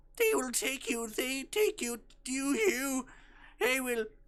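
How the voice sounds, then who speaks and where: A high-pitched, put-on character voice at a fairly slow pace. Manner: ominous, warning.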